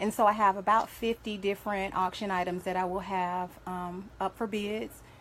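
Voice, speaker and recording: A woman speaks with a slight Southern US accent. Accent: slightly country, Southern US. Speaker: domestic violence survivor advocate and event organizer. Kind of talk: live radio interview. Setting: radio studio.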